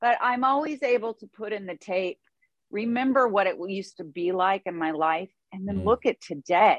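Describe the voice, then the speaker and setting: With a plain, everyday voice, a woman speaks at a moderate pace in a medium pitch, her intonation lively and her loudness swinging widely. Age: 50s. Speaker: author and podcast host in recovery. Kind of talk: interview, personal testimony.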